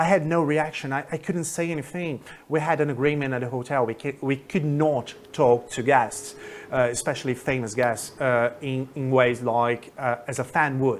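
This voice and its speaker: A man with a Brazilian accent speaks at a medium pitch and moderate pace, keeping his intonation fairly even. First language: Portuguese. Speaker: English teacher. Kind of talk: casual storytelling to camera. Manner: casual, hesitant.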